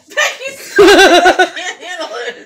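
Light background noise is present. The speaker is a woman. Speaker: vlogger. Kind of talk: casual vlog chat, ASMR parody. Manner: loud laughter. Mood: giggly, breaking into laughter. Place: home room. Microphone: phone near.

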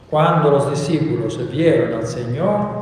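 Strong room echo surrounds a man whose fairly high voice has lively intonation. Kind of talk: Gospel reading at Mass. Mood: solemn, measured. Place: church.

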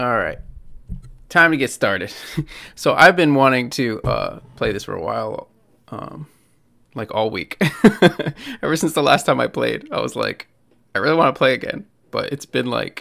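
Over a quiet background, a man speaks at a moderate pace with long, frequent pauses. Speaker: game streamer. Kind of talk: casual live stream chat. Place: home room. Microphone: studio mic.

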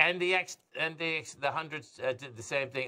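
The man's tone is bright and sharp, with ordinary pitch variation at a moderate pace. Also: quiet background. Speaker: market analyst host. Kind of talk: commentary. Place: studio. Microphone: lapel.

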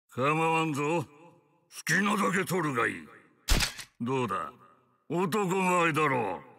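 In a put-on character voice, the speaker talks at a fairly slow pace with lively intonation and long, frequent pauses. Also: man, fairly high pitch for a man. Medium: dub.

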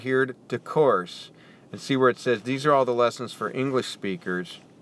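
Using a plain, everyday voice, a man with an American accent speaks at a medium pitch with ordinary pitch variation. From United States. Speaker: English tutor. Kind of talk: app tutorial walkthrough. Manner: casual.

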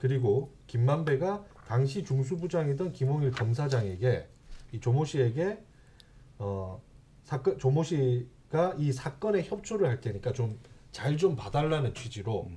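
A man talks at a fairly slow pace in a dark, mellow voice that is somewhat breathy. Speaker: broadcast union leader. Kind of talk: casual talk show discussion. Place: studio. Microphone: studio mic.

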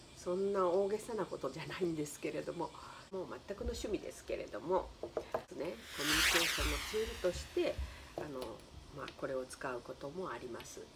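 Against loud background noise, the speech runs at a fairly quick pace. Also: woman. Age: 70s. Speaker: color therapist and flower designer. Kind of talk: casual talk to camera. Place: home room. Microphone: phone near.

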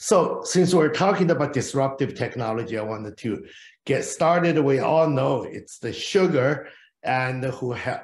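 A man speaks, somewhat breathy. Audible room echo surrounds his voice. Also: ordinary pitch variation, moderate pace. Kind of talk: conference presentation. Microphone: video call.

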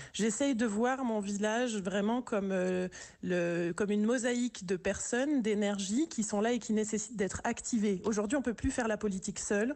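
At a moderate pace, a woman speaks with very even loudness and ordinary pitch variation. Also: quiet background. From urban France. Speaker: village mayor; village mayor, radio guest. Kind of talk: radio interview. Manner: hesitant, many repetitions. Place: studio.

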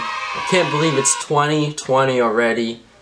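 A man at a fairly slow pace, with lively intonation and clear music in the background. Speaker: vlogger. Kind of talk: casual talk to camera. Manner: upbeat, energetic. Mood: calm, reflective. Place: home room.

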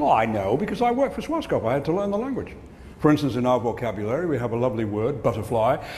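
A man with an Australian accent speaks very fast with lively intonation over light background noise. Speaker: keynote speaker. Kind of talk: humorous keynote speech. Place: stage. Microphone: lapel.

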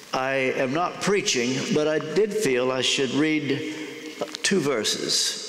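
Audible room echo hangs around the recording. The voice belongs to a man. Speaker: guest. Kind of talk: sermon. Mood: warm, lightly humorous. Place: church.

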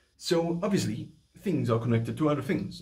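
A man speaks with vocal fry at a moderate pace. His pitch sits fairly high. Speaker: voice coach. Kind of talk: tutorial talk to camera. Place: home room. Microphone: phone near.

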